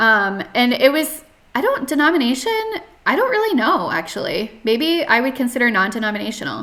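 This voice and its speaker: Speaking at a fairly quick pace in an American accent, a woman with a high pitch makes very wide pitch swings over noticeable background noise. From US South, North Carolina. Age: 30s. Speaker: podcast guest sharing life story. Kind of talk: interview testimony. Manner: hesitant, many fillers.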